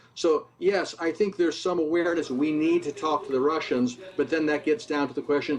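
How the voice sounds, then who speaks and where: A fairly high-pitched man with an American accent, moderate pace and ordinary pitch variation, against noticeable background noise. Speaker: former diplomat. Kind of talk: news interview commentary.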